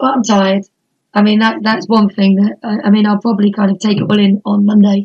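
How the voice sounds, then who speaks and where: Speaking with an East Anglian accent, a woman talks at a moderate pace in a monotone, flat intonation, with medium pitch and a somewhat breathy sound. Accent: English (East Anglia). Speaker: wrestling promoter. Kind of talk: casual interview.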